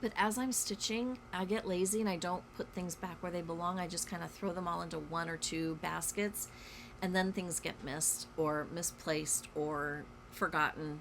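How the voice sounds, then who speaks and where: With an ordinary speaking voice, a woman talks at a moderate pace, her pitch fairly low and its variation ordinary. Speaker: cross stitch vlogger. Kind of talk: casual chat. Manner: casual, many fillers.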